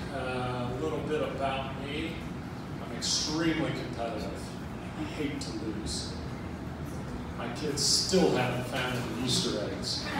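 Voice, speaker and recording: Over loud background noise and audible room echo, a man speaks at a fairly slow pace with long, frequent pauses. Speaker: stand-up comedian. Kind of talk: stand-up comedy set. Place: stage.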